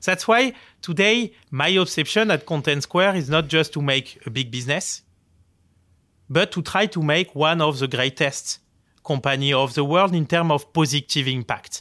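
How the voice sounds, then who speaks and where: On a very clean recording with a silent background, a man with a French accent talks at a moderate pace in a bright, sharp tone. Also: ordinary pitch variation. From France, Marseille. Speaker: tech company founder and CEO. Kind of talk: interview. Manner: halting, many fillers.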